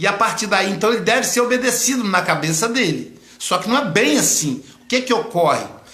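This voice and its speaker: In a raised, projected voice, a man talks at a high pitch and a fairly quick pace with lively intonation and hardly any pauses, amid audible room echo and noticeable background noise. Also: very even loudness. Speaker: psychoanalyst. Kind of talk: live stream lecture. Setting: online live broadcast.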